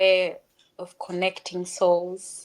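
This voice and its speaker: A woman is speaking. She has a Ugandan accent. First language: Luganda. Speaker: author and speaker. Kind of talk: interview.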